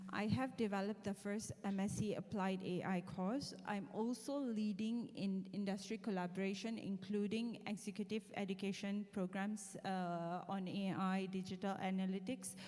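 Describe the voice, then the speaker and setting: A woman's dark, mellow tone with monotone, flat intonation, very even loudness, a moderate pace and hardly any pauses. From Malaysia. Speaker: university lecturer, head of AI programs. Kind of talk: lecture. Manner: interactive, conversational.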